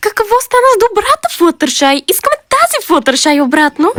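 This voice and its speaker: A cartoonish character voice swings very widely in pitch. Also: woman, extremely high pitch for a woman. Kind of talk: cartoon fan dub. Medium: fan dub.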